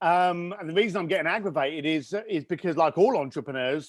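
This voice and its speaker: On a very clean recording with a silent background, a man with a British accent talks fairly quickly at a high pitch in an animated tone, with ordinary pitch variation. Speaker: entrepreneur and author. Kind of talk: interview conversation. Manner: fast.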